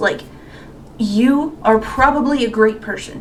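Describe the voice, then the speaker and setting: A woman speaks very slowly, her voice carrying audible room echo amid noticeable background noise. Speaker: YouTuber. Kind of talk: casual Q&A monologue. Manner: halting.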